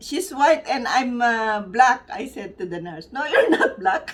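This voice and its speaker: Speaking very slowly with a Filipino accent, a woman uses a high pitch and very wide pitch swings. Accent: Filipino accent, noticeable. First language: Tagalog. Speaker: vlogger. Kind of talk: casual vlog chat. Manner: halting.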